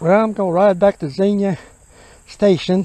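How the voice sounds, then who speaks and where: A man with a high voice speaks at a fairly slow pace. The sound is dry with no echo, and light background noise is present. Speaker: cyclist vlogger. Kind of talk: casual vlog chat. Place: bicycle. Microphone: phone near.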